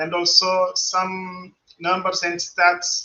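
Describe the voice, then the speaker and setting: A very slow pace, in a Portuguese accent. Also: man. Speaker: pharmaceutical regulator. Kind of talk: conference presentation. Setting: virtual conference studio. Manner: halting, many fillers and repeats.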